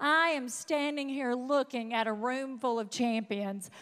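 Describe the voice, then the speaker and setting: An animated, raised and projected woman's voice, high and bright, sharp in tone, with lively intonation and a Southern accent. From US South, North Mississippi. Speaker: motivational speaker. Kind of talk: motivational speech. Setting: stage with audience.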